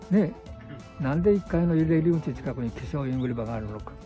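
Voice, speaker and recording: A man speaks at a fairly quick pace with lively intonation. Clear music plays in the background, and the sound is dry with no echo. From Japan. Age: 80s+. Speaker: elderly ground golf player interviewed. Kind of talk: interview answer; casual talk. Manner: energetic. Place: open country. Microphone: phone near.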